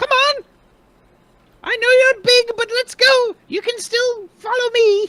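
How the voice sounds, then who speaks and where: Squeaky and at an extremely high pitch, this put-on character voice moves at a fairly slow pace with long, frequent pauses. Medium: actual play. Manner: frantic.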